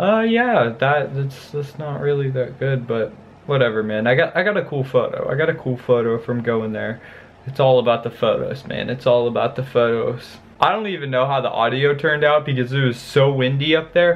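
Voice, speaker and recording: Moderate pace and ordinary pitch variation from a man. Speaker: vlogger. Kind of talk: casual vlog chat. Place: home room.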